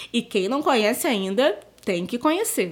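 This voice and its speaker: A woman talks at a fairly slow pace. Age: young. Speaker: storyteller and museum educator. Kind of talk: storytelling for children. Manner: chatty.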